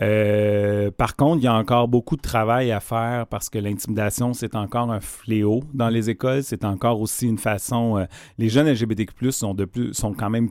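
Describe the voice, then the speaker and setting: A man with a plain, everyday voice speaks at a moderate pace and medium pitch, with fairly even intonation and hardly any pauses, on a very clean recording with a silent background. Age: 40s. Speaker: organization director. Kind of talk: radio interview.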